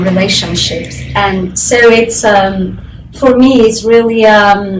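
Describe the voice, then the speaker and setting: Over noticeable background noise and audible room echo, a woman speaks at a very slow pace with a medium pitch and fairly even intonation. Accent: non-native. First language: not English. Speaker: postgraduate researcher. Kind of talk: interview testimony. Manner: hesitant, many fillers.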